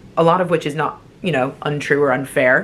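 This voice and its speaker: A woman with an American accent speaks at a very deep, low pitch with ordinary pitch variation. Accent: sounds American. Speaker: travel vlogger. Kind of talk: casual vlog talk. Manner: animated.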